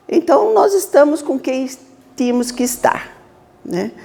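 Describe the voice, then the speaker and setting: Fairly slow speech from a woman, with noticeable background noise. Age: 60s. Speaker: spiritist lecturer. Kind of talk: lecture. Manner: casual, conversational.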